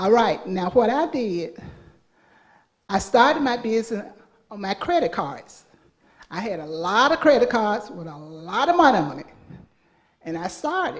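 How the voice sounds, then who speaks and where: Amid audible room echo, a woman with a fairly high pitch speaks at a moderate pace, with long, frequent pauses, very wide pitch swings and big swings in loudness. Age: 70s. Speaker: small business owner, audience member. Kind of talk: testimony at church business conference.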